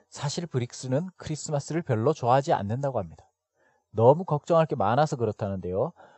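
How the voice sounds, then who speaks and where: Using a plain, everyday voice, a man speaks at a fairly quick pace with lively intonation and medium pitch. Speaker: podcast host teaching English expressions. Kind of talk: educational narration with repeat-after-me drills.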